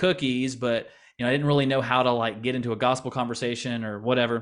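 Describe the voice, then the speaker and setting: With an American accent, a man talks at a fairly quick pace and medium pitch, his intonation fairly even against a quiet background. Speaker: missionary. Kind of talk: interview. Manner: hesitant, many repetitions.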